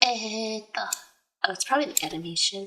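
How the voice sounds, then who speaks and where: Soft-spoken, a woman speaks in a fairly high pitch with lively intonation. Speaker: livestreamer. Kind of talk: casual chat. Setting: livestream.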